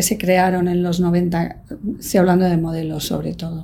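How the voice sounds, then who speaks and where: A woman with a dark, mellow tone speaks at a fairly slow pace amid audible room echo. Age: 60s. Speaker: magazine production director. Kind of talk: interview.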